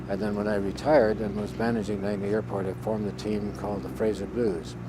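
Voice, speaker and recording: At a very fast pace, a man with a Newfoundland accent and a fairly low pitch talks with very wide pitch swings. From Newfoundland, Canada. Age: 80s+. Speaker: retired military pilot. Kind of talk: interview. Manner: halting.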